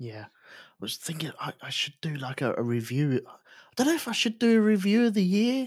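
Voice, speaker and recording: With an English accent, a man talks at a fairly quick pace in a high pitch, with very wide pitch swings and big swings in loudness, on a very clean recording with a silent background. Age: 40s. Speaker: podcast co-host. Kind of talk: casual chat.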